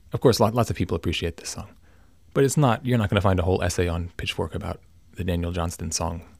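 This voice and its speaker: Very deep and low, a man's voice moves at a fairly quick pace with ordinary pitch variation in a very clean recording with a silent background. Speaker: podcaster. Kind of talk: solo monologue. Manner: meandering, halting.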